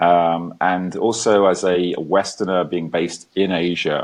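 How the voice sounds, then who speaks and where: A man with an English accent talks in a very deep, low voice. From England. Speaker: ex-military entrepreneur, talk show guest. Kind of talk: casual interview.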